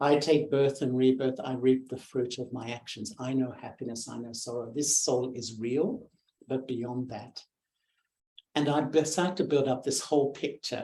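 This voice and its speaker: Speaking at a moderate pace with an Australian accent, a man uses a medium pitch, a dark, mellow tone, and fairly even intonation, with big swings in loudness. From Australia, Melbourne. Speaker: meditation teacher. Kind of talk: spiritual talk, personal story.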